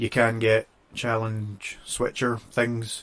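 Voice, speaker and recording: Flat, monotone delivery with a Scottish accent. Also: man. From Scotland. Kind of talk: casual podcast conversation.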